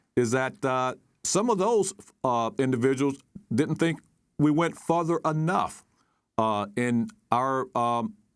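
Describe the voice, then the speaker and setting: With an American accent, a man talks at a moderate pace in a fairly high voice with lively intonation. The recording is very clean with a silent background. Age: 60s. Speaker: retired military officer, national security advisor. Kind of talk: news interview. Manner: halting, many fillers.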